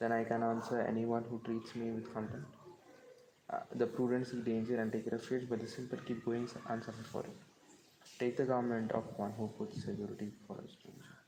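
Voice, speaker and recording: This man talks at a fairly quick pace with a medium pitch. His intonation stays monotone and flat, and there is noticeable background noise. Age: 20s. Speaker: devotional speaker. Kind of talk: reading aloud. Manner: halting.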